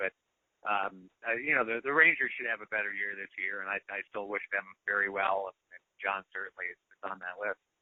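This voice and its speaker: Speaking at a moderate pace, a man uses an ordinary speaking voice at a fairly low pitch. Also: fairly even intonation. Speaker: baseball radio broadcaster. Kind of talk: interview answer. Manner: conversational, with filler words.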